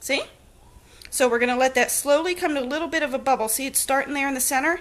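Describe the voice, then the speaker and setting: A woman's animated, high-pitched voice at a very fast pace, with an American accent. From New Jersey. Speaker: home cooking live streamer. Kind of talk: live cooking stream chat. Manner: chatty, animated.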